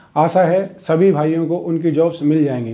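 Against a quiet background, a man with a high pitch and a dark, mellow tone speaks at a fairly slow pace with fairly even intonation. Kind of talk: talk to camera, advice. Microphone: lapel.

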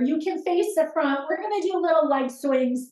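A woman's extremely high-pitched voice with a dark, mellow tone and a calm tone, at a moderate pace, with audible room echo and a quiet background. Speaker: fitness instructor. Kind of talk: live-style follow-along exercise class cueing reps and breath. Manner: steady rhythmic counting cues, calm and encouraging; gentle, instructive with imperative step-by-step directions. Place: home room.

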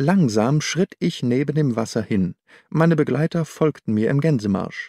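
Recorded dry and close with no echo on a very clean, silent background, a man talks at a fairly slow pace in a medium pitch with lively intonation and a slightly mellow tone.

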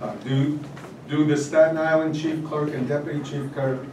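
Over noticeable background noise and audible room echo, a man speaks at a moderate pace with monotone, flat intonation. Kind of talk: formal meeting procedure. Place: hall.

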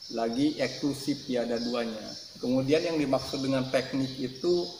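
Over noticeable background noise, a man speaks fairly slowly in a flat monotone at a medium pitch. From Indonesia. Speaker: YouTube channel creator. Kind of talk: channel introduction monologue. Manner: friendly and straightforward. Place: home room.

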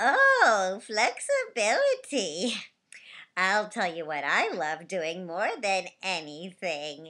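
The speaker uses a put-on character voice with ordinary pitch variation. Delivery comes at a very slow pace. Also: woman, medium pitch for a woman.

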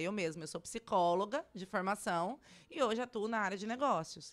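A woman speaks with lively intonation. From Brazil, Cuiabá, Mato Grosso; Mato Grosso, Brazil. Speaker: tech event organizer; interview guest. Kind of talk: radio interview. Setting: radio studio. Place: studio. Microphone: studio mic.

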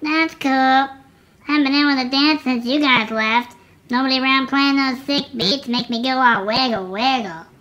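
A woman with a high pitch speaks at a moderate pace. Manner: rambling, absent-minded.

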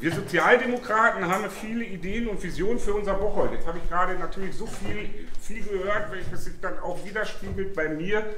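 Amid audible room echo and light background noise, a man talks in a raised, projected voice at a fairly quick pace with fairly even intonation. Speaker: candidate. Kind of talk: political speech. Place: bar. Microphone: camera far.

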